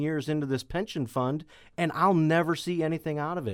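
Speaking at a fairly quick pace, a man talks with a Missouri accent. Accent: Midwestern American (Missouri). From St. Louis County, Missouri. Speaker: state legislator. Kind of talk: interview.

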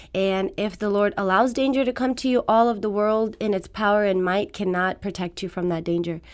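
In an Iranian accent, a woman speaks at a moderate pace with a medium pitch and ordinary pitch variation. The recording is very clean, with a silent background. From Afghanistan. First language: Farsi. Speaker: fitness trainer. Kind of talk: radio interview. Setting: studio.

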